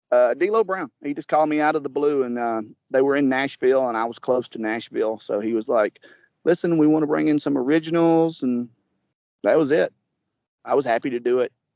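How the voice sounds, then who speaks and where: A man speaks with a fairly high pitch. His pace is fairly quick, with ordinary pitch variation. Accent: Southern US. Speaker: former pro wrestler. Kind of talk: interview.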